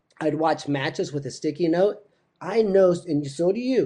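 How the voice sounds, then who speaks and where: A man with an unremarkable speaking voice and a fairly high pitch talks at a moderate pace over a quiet background. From Missouri, near St. Louis. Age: 50s. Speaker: wrestling coach. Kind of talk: interview.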